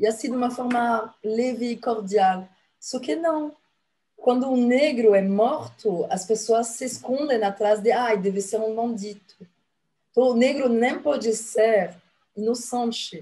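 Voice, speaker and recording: In a French accent, a woman talks at a fairly slow pace with a fairly high pitch and ordinary pitch variation. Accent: foreign (French) accent in Portuguese. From France. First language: French (speaking Portuguese). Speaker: activist and former consul. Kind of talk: TV interview. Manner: hesitant, many filler sounds.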